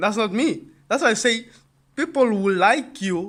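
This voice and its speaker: A high-pitched man, animated, with a bright, sharp tone and very wide pitch swings. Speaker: online business youtuber. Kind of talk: casual motivational talk to camera. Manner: fast.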